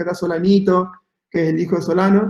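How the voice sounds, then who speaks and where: A man's high-pitched voice in an Argentine accent, with fairly even intonation. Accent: Argentine Spanish (voseo). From Argentina, Patagonia (Santa Cruz). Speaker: architect. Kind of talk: talk presentation. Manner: hesitant, many fillers.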